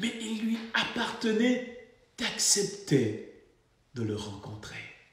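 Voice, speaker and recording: Very wide pitch swings mark a man's very slow speech, which carries audible room echo. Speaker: pastor. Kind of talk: sermon.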